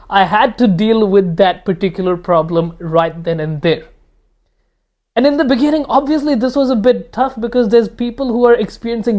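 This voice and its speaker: A voice with ordinary pitch variation moves along at a fairly quick pace. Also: man. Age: 20s. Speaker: self-improvement youtuber. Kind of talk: casual monologue. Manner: casual, conversational.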